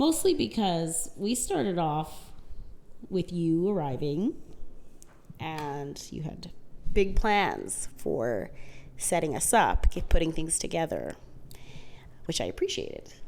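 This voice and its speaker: A quiet woman speaking at a very slow pace, with long, frequent pauses and big swings in loudness. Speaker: podcast co-host. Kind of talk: casual chat.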